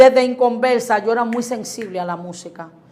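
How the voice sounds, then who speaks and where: A woman with a Dominican accent talks at a fairly quick pace in an animated tone, with ordinary pitch variation. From Dominican Republic, Boca Chica. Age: 40s. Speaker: pastor. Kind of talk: interview about faith.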